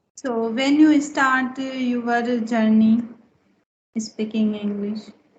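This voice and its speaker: Very slow speech from a woman with fairly even intonation and audible room echo. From India, Rajasthan. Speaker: school English teacher. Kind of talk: casual chat, English speaking practice. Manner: halting, many fillers.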